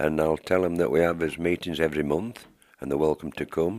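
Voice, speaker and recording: A man with a very deep, low pitch talks very fast with fairly even intonation. The recording is very clean, with a silent background. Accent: Yorkshire. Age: 70s. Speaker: tenants association organiser. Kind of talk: interview.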